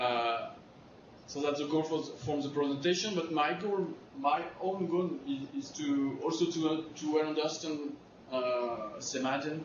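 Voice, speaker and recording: A man's fairly high voice in a French accent, fairly slow, with ordinary pitch variation, audible room echo and noticeable background noise. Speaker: hydrology researcher. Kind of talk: lecture. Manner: halting, many fillers and repetitions.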